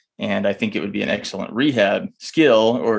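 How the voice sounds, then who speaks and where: A man's ordinary speaking voice with an American accent, fairly low in pitch, at a moderate pace. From Texas. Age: 30s. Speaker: urologist and stroke survivor. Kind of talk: interview storytelling.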